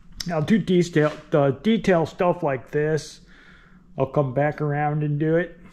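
A man speaks fairly slowly with fairly even intonation. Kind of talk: tutorial. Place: garage. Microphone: phone near.

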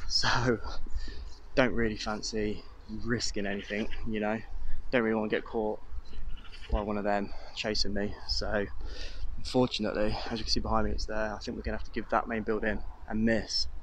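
The sound is dry with no echo and light background noise, and the speech moves at a fairly quick pace. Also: man. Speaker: urban explorer vlogger. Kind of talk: casual vlog chat. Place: open country. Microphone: phone near.

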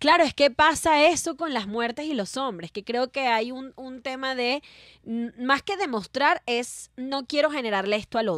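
A woman speaks at a fairly slow pace in a high pitch, with lively intonation and big swings in loudness. The sound is dry with no echo over a quiet background. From Venezuela. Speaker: comedian. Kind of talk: casual chat. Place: studio. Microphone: studio mic.

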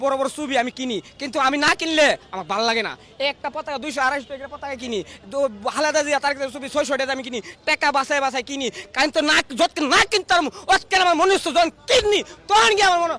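A man speaks in a raised, projected voice with an animated tone, his pitch extremely high for a man with ordinary variation, recorded in dry, close sound with no echo. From Bangladesh, Brahmanbaria. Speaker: rickshaw puller and party activist. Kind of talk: street interview.

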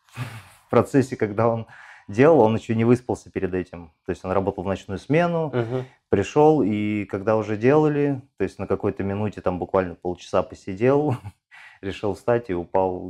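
Against a quiet background, a man speaks at a moderate pace with a fairly low pitch and a dark, mellow tone. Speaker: interviewee. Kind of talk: interview answer. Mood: relaxed, amused. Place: shop. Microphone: lapel.

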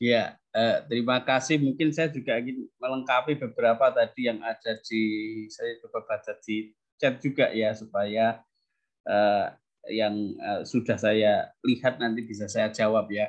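A man's fairly slow, fairly even-toned delivery against a quiet background. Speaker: teacher, task force head; teacher. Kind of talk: answering parents' questions. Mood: friendly, smiling. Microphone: unstable connection; video call.

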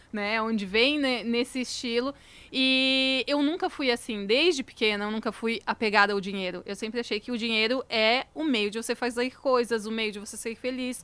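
A woman's fairly high, bright and sharp voice at a moderate pace, with ordinary pitch variation, hardly any pauses and a dry sound without echo. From Santa Catarina, Brazil (Lages); Santa Catarina, Brazil. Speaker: founder of a cosmetics brand; podcast guest. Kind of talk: casual interview chat. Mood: reflective, warm. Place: studio. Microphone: studio mic.

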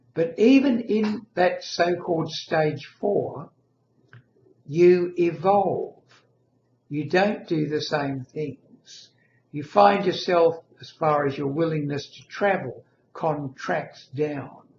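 A man talks very slowly, with big swings in loudness. Room echo is audible, along with light background noise. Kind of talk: casual vlog chat. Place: home room. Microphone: webcam.

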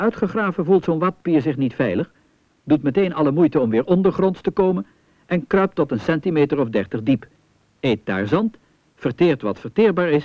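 The speaker uses a calm, gentle tone with vocal fry at a moderate pace. The pitch swings very widely. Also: man. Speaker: documentary narrator. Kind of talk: vintage 1970 nature-documentary voice-over, scripted, formal and authoritative. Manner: calm, didactic, with gentle wonder.

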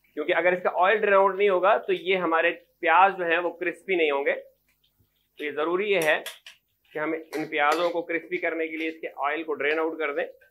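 Speaking at a fairly quick pace, a man uses a fairly high pitch. His intonation is fairly even.

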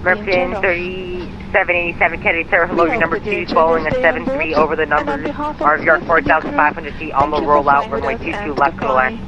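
Over loud background noise, a man talks with hardly any pauses, the sound dry and free of echo. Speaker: tower controller. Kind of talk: air traffic radio: landing and takeoff clearances; radio phraseology. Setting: radio transmission. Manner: rushed, reassuring, slightly flustered. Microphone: two way radio.

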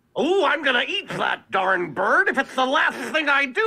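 This put-on character voice sits high in pitch and moves at a moderate pace. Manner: lisping.

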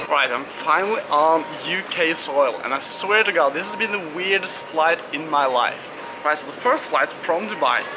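A man talks at a moderate pace as noticeable background noise continues behind him. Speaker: bmx rider vlogger. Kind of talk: casual vlog chat. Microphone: phone near.

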